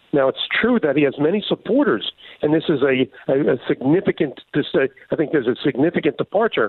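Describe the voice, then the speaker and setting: This man has a normal speaking voice, pitched fairly high. He talks at a fairly quick pace with ordinary pitch variation. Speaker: foreign policy commentator. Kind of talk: interview.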